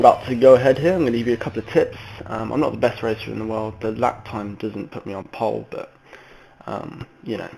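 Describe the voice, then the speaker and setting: A man with an English accent at a fairly quick pace, over noticeable background noise. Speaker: sim racing gamer. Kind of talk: gameplay tutorial commentary. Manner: hesitant, many ums.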